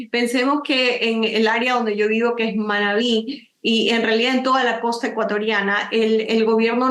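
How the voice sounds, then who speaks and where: Her pitch is fairly high as a woman speaks at a moderate pace. Her intonation stays monotone and flat. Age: 60s. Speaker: nature photographer and author. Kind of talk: interview.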